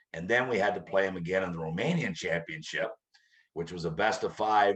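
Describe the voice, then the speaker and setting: Speaking at a moderate pace, a man uses a very deep, low pitch with ordinary pitch variation. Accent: Canadian. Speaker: hockey coach. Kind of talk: interview. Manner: loud.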